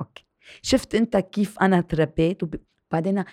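A woman with an unremarkable speaking voice talks at medium pitch with ordinary pitch variation, the sound dry and close with no echo. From Lebanon. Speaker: TV presenter and writer. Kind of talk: interview.

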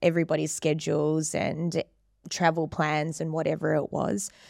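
In a New Zealand accent, a woman speaks fairly slowly at a fairly low pitch, on a very clean recording with a silent background. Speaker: fitness trainer. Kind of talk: casual interview chat. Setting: studio.

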